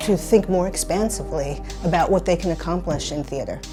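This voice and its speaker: A woman's fairly low-pitched voice at a moderate pace, fairly even in intonation, with music in the background. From Brooklyn, New York. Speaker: playwright. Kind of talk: interview answer.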